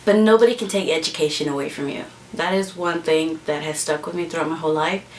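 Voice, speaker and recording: There is noticeable background noise behind a woman with an American accent. She talks at a fairly low pitch with ordinary pitch variation. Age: 20s. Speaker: vlogger. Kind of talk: casual vlog monologue. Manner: halting, many fillers.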